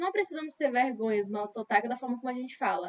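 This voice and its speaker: A woman in a Brazilian accent, fairly high in pitch, with ordinary pitch variation. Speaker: English teacher. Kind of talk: lecture. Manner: conversational, repetitive fillers.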